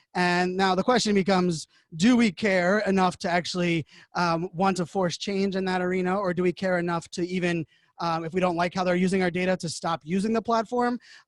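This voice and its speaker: A man speaks loudly and fairly quickly at a high pitch, his intonation fairly even. The sound is dry and close, with no echo. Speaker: digital media evangelist and keynote speaker. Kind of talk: interview. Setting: remote from home. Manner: fast. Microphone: studio podcasting microphone.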